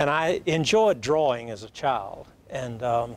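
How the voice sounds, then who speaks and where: Here a man is speaking. He has a Southern US accent. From US South, Alabama. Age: 80s+. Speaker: plastic surgeon. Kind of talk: talk show interview.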